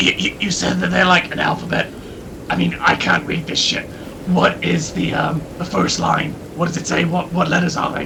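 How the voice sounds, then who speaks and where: A man puts on a character voice at a moderate pace as loud background noise plays. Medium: actual play. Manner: hesitant, stammering, casual swearing.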